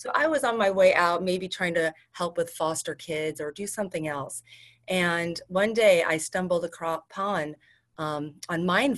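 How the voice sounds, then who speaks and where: Her fairly low-pitched voice shows ordinary pitch variation as this woman talks at a moderate pace. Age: 40s. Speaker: hypnotherapist. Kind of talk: interview. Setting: video call.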